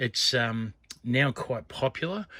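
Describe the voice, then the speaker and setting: In a very clean recording with a silent background, a man speaks with an Australian accent at a medium pitch. His tone is animated, bright and sharp, with lively intonation. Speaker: coin and scrap collector vlogger. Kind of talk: casual vlog chat. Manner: rambling, animated.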